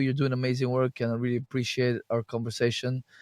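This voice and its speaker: A man speaks at a medium pitch with a non-native accent. The sound is dry and close, with no echo. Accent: noticeable foreign. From Bulgaria. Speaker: health and detox practitioner. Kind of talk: interview conversation. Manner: halting, frequent repeated false starts.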